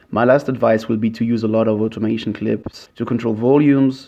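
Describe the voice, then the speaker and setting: A man speaks at medium pitch with a non-native accent. His pace is moderate and his pitch variation ordinary. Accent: non-native English speaker. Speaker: music producer, mashup maker. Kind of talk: software tutorial narration. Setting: poor-quality home microphone.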